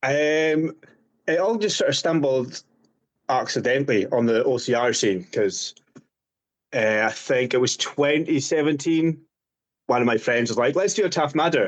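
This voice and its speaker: A man with a Scottish accent and a fairly high pitch talks at a moderate pace with lively intonation, very even loudness and long, frequent pauses. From Scotland, Highlands. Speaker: obstacle course racer. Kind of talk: interview. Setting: podcast.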